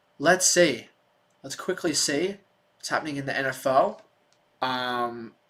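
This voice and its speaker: In an Australian accent, a man talks fairly slowly with long, frequent pauses, his pitch fairly high and varying in an ordinary way. His tone is bright and sharp, and the recording is very clean with a silent background. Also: big swings in loudness. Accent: Australian, sometimes mistaken for English. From Australia, Melbourne. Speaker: sports streamer. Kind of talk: live stream chat and play-by-play. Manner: animated.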